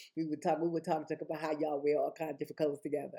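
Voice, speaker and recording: Woman's voice, very deep and low in pitch, with a dark, mellow tone. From New York City, the Bronx. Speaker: vlogger. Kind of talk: casual monologue vlog. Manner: fast; halting.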